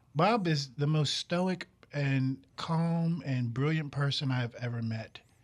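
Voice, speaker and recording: In an American accent, a man with a fairly high, somewhat breathy voice speaks at a very slow pace. His pitch varies in an ordinary way. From New York. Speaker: television director. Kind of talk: casual chat. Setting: studio.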